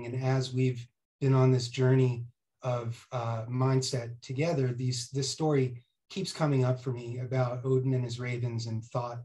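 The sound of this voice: A man with an American accent talks at a moderate pace in a medium-pitched, somewhat breathy voice with a dark, mellow tone and monotone, flat intonation.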